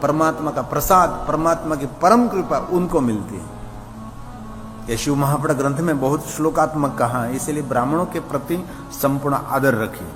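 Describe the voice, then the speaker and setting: A Gujarati accent with ordinary pitch variation, audible room echo, and music in the background. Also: man, fairly high pitch for a man. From Gujarat, India. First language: Gujarati (speaking Hindi). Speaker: religious storyteller. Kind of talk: religious discourse.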